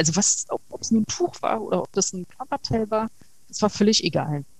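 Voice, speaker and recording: A woman speaks at a moderate pace and medium pitch, with ordinary pitch variation. Her voice is somewhat breathy. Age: 40s. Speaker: interview guest sharing abuse survivor experience. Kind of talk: interview. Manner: halting.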